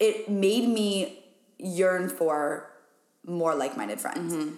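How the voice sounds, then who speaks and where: A woman with an American accent speaks at a very slow pace with ordinary pitch variation. Audible room echo can be heard. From Wyoming, US. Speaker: business coach and podcaster. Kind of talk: casual chat. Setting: rural ranch house.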